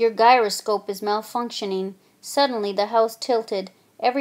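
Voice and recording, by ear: This is someone reading aloud in a natural voice, with fairly even intonation.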